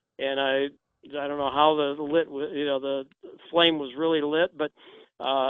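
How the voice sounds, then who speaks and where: Fairly high-pitched with fairly even intonation, a man talks at a moderate pace. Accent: American. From Indiana, US Midwest. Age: 60s. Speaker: shotgun instructor and gunfitter. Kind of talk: interview. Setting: phone call.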